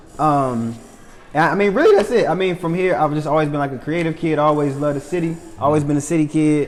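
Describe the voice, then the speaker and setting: The speech comes at a very fast pace. There is audible echo from the room. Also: man. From Charlotte, North Carolina. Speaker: comedian. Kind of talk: casual chat.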